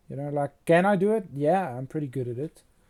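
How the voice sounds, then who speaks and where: A man's dark, mellow tone at fairly high pitch, with a South African accent. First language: Afrikaans. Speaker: fantasy concept artist and illustrator. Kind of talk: casual livestream chat while painting. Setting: livestream.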